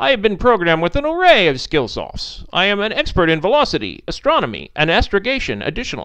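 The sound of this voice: In a put-on character voice, a man speaks fast at a high pitch, his tone clear and smooth yet bright and sharp, with very wide pitch swings.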